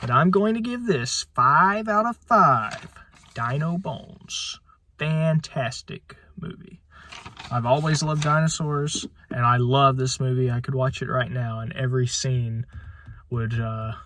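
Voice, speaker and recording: A man of medium pitch, fairly slow with long, frequent pauses, amid noticeable background noise. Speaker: movie reviewer. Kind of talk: video review. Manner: halting, many filler words.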